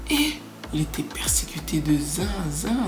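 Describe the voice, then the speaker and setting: Noticeable background noise and audible room echo surround a woman as she talks. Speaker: YouTuber. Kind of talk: casual vlog monologue. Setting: small flat, home. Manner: halting, repeats words.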